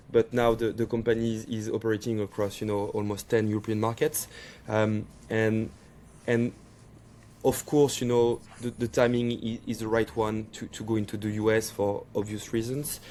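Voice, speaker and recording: Keeping a moderate pace, a man with a French accent talks at a medium pitch in a flat monotone with a dark, mellow tone. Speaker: startup CEO and co-founder. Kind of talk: podcast interview. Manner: halting, with frequent repetitions.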